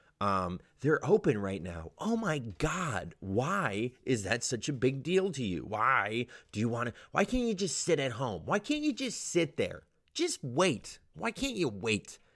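A man with an American accent speaks at a fairly slow pace in a medium pitch, with vocal fry and very wide pitch swings. The recording is very clean and the background silent. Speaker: podcast host and stand-up comedian. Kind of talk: monologue rant. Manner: animated.

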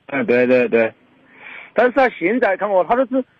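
A man's fairly quick speech with a Chongqing accent and very wide pitch swings. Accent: Fengdu dialect (Sichuanese). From Fengdu, Chongqing. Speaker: caller. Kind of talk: phone-in personal problem. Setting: phone call. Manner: halting.

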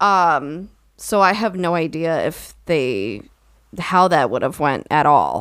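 A woman talks at a very slow pace with lively intonation. Vocal fry colors her voice. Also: fairly low pitch for a woman. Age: 20s. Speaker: podcast co-host. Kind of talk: casual chat.

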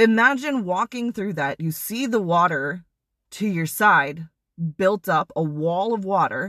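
Recorded dry and close with no echo against a quiet background, a woman speaks at a medium pitch and a fairly slow pace, her tone animated, bright and sharp, her intonation lively. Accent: American. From US Midwest (Wisconsin). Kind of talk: devotional talk. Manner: animated, casual with laughs.

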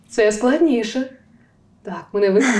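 Audible room echo surrounds a woman whose fairly high voice moves with ordinary pitch variation. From southern Ukraine, Zaporizhzhia region (Tokmak). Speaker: voice and diction coach. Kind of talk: interview.

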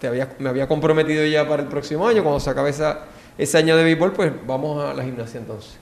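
A man's very fast, fairly high-pitched speech with ordinary pitch variation over noticeable background noise. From Puerto Rico, San Juan. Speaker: orthopedic surgeon, former gymnast. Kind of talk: casual interview.

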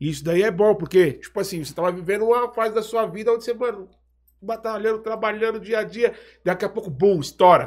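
A man talks at a very fast pace with a high pitch. The recording is very clean, with a silent background. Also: ordinary pitch variation. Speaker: podcast host. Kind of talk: casual chat.

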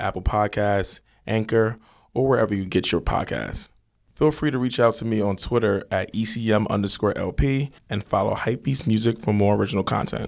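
A man with an unremarkable speaking voice and an American accent talks at a medium pitch and moderate pace. His intonation is fairly even on a very clean recording with a silent background. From Nigerian American. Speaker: podcast host. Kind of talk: casual interview. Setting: hotel room.

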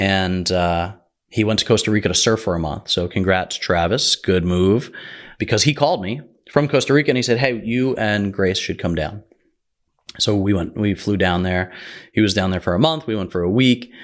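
A man with an American accent, an ordinary speaking voice and a fairly low pitch, at a moderate pace, on a very clean recording with a silent background. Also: ordinary pitch variation. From New Jersey. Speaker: podcast host, real estate investor. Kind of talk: personal storytelling monologue.

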